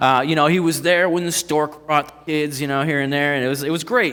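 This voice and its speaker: A man at a very fast pace with a Northeast Ohio accent, over noticeable background noise. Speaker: pastor. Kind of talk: sermon. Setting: church. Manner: casual, halting with fillers.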